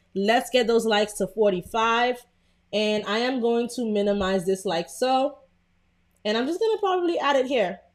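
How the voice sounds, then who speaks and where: A woman with a Brooklyn accent speaks in a fairly high pitch. Her intonation is lively and her pace moderate. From Brooklyn, New York. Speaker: content creator, design tutorial streamer. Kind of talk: live-stream tutorial with chat shout-outs. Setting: live stream. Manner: casual, chatty.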